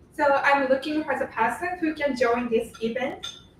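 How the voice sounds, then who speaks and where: Speaking with a Japanese accent, a woman uses a high pitch and ordinary pitch variation at a fairly slow pace. Noticeable background noise runs under her voice. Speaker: intern, audience member. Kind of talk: short announcement from the floor.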